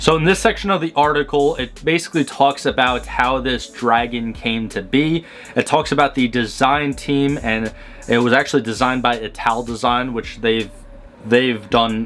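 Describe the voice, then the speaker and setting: Music can be heard behind the speech. The man talking has a mid-range pitch. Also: ordinary pitch variation, moderate pace. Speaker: car review youtuber. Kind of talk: casual video commentary. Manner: halting, filler-heavy.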